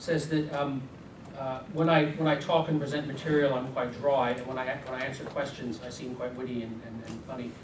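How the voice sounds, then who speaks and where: Over noticeable background noise and audible room echo, a man speaks in a fairly high pitch with fairly even intonation. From US. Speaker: business consultant presenter. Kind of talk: seminar presentation. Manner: fast.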